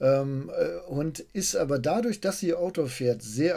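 The recording is very clean with a silent background, carrying a man's dark, mellow voice. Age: 50s. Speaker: car journalist podcast host. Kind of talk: casual chat.

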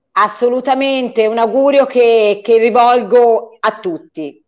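A woman speaks at a very slow pace with a fairly high pitch. Music plays in the background. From Tuscany. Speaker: singer. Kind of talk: casual chat. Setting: video call.

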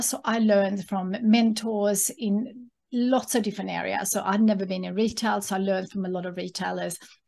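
At a moderate pace, this somewhat breathy speaker talks with a Swedish accent. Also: woman, quiet background. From Sweden. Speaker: author and entrepreneur. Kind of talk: casual interview.

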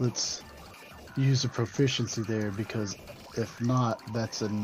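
With music playing in the background, a man speaks fairly slowly. His medium-pitched voice is monotone and flat. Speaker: tabletop roleplaying game player. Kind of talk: tabletop roleplaying game, in-character chat.

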